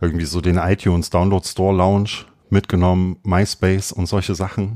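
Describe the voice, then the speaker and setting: Recorded very cleanly with a silent background and a dry, close sound free of echo, a man with a very deep, low pitch and a dark, mellow tone speaks at a fairly quick pace in a monotone, flat delivery. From Thuringia, Jena. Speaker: music booking agency founder. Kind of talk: interview.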